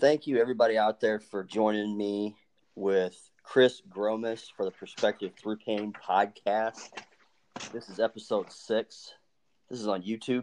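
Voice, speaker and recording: This man has a plain, everyday voice with fairly low pitch. His intonation is fairly even and his pace fairly slow. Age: 30s. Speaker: podcast host. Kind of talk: casual chat.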